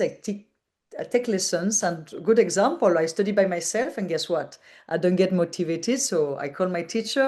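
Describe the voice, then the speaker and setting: With a French accent, a woman speaks at a fairly low pitch with lively intonation. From France. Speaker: digital nomad entrepreneur. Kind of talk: interview. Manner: halting.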